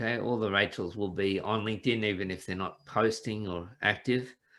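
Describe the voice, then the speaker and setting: Here a man speaks with an Australian accent. His pace is moderate and his pitch varies an ordinary amount. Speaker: business coach. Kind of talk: casual interview chat.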